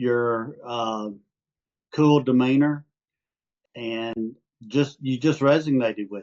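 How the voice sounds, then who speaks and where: With an Arkansas accent, a man speaks at a medium pitch and a very slow pace, leaving long, frequent pauses, his loudness swinging widely while his intonation stays fairly even. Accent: Southern (Arkansas) accent noticeable. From Arkansas, US South. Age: 70s. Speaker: retired amateur stock trader. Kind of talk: interview. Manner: halting, many fillers.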